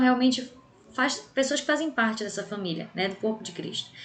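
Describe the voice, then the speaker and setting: The speaker is a woman. Her words echo noticeably off the room. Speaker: bible class teacher. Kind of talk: lecture.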